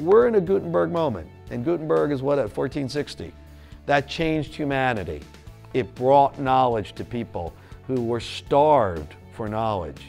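A man speaks at a moderate pace. Faint music plays in the background. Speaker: visiting journalist. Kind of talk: interview answer. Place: studio. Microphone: lapel.

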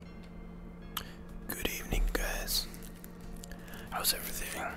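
Someone whispers at a very slow pace with music in the background. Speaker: ASMR gaming creator. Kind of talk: whispered gameplay commentary. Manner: whispered.

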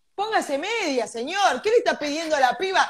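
In an animated tone, a woman with a high pitch speaks at a moderate pace, her voice making very wide pitch swings over a quiet background. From Argentina. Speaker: podcast co-host. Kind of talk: casual chat. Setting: live stream. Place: home room. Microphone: video call.

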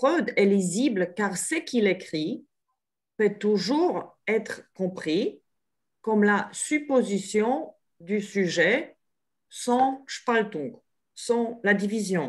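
Over a quiet background, a woman with a fairly high pitch and lively intonation speaks at a very slow pace with long, frequent pauses. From Poland. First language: Polish (speaking French). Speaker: psychoanalyst. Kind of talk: online panel talk. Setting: video call. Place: home room. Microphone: video call.

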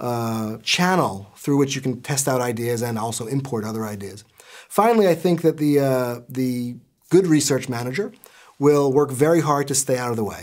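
A man at a moderate pace with ordinary pitch variation over a quiet background. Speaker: business school lecturer. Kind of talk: interview answer. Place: office.

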